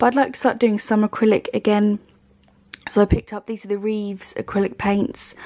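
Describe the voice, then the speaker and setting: A woman with a fairly high pitch and a dark, mellow tone, at a fairly quick pace with fairly even intonation, in a dry, close sound with no echo. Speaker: art and book YouTuber. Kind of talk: casual haul video. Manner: hesitant with fillers.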